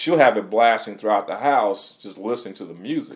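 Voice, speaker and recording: A man with an American accent, at a very fast pace. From Michigan. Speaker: musician and DJ. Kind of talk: interview. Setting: studio.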